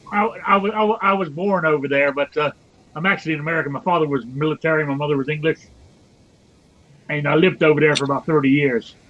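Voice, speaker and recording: A man with a fairly high pitch and ordinary pitch variation talks at a very fast pace, with long, frequent pauses amid noticeable background noise. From England, near London (Windsor). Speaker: chat participant, gun enthusiast. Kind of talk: casual chat.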